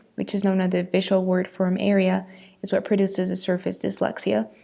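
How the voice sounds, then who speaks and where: A woman with a Spanish accent, talking at a fairly quick pace against a quiet background. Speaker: student. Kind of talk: class presentation.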